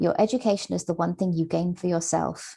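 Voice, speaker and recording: A woman's dark, mellow tone with vocal fry at a moderate pace. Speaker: museum professional, keynote speaker. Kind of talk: keynote lecture. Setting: online webinar. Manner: formal.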